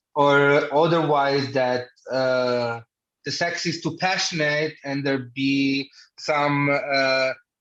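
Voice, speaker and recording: Against a quiet background, a man with an Italian accent talks at a very slow pace in a fairly high voice with fairly even intonation. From Italy. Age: 30s. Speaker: podcast guest with hemophilia. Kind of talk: casual chat.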